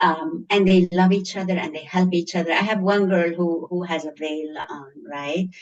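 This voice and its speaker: A woman's fairly low voice at a moderate pace, with a strong Egyptian accent. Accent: thick Egyptian. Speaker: schoolteacher. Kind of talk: interview. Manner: animated.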